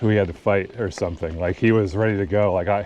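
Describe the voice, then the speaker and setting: A man speaks at a fairly quick pace with fairly even intonation over noticeable background noise. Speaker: outdoor vlogger. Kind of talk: casual monologue. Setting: outdoors. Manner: casual, halting.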